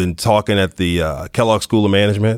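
Over a silent background in a very clean recording, a man talks at a very fast pace in a fairly low pitch. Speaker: podcast host. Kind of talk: interview conversation.

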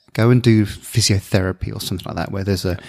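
With a southern English accent, a man speaks in a dry, close sound with no echo on a very clean recording with a silent background. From southern England (Bournemouth). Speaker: sports scientist. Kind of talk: interview. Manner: halting.

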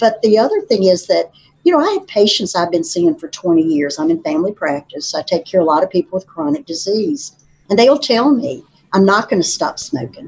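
Speaking in an Appalachian Virginia accent, the voice is somewhat breathy and moves at a fairly quick pace. Its pitch makes very wide swings. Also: woman, medium pitch for a woman. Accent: Southern US (Appalachian Virginia). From southwestern Virginia. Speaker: state legislator and nurse practitioner. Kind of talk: interview conversation. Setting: studio.

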